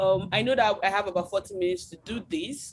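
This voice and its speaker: A woman with a medium pitch and vocal fry, lively intonation and a moderate pace. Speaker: UX designer and researcher. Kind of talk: webinar lecture. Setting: video call webinar.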